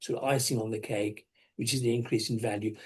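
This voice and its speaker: A man's voice comes through somewhat breathy. Its tone is dark and mellow. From England, moved there around age seven or eight. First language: not English. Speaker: dental practice business consultant. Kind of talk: webinar presentation. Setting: online webinar.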